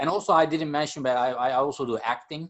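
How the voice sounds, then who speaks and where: A man with a Turkish accent speaks with ordinary pitch variation. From Turkey. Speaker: jazz percussionist and music professor. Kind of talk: podcast interview. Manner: hesitant, many fillers.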